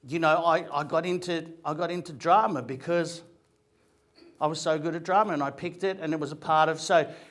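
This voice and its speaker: In an Australian accent, a man talks at a fairly high pitch with fairly even intonation. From Australia, Greek migrant family. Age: 50s. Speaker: actor and comedian. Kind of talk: motivational talk.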